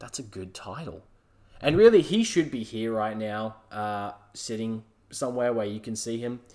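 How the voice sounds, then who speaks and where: With an Australian accent, a man speaks at a moderate pace and medium pitch, with a dark, mellow tone, ordinary pitch variation and big swings in loudness. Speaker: solo podcast host. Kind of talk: casual monologue. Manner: halting, many fillers.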